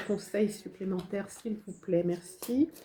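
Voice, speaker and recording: Speaking at a very slow pace, a woman has a medium pitch and a dark, mellow tone. She is somewhat breathy, and her intonation is fairly even. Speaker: tarot card reader and spiritual medium. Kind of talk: channeled tarot guidance reading. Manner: hesitant, many fillers.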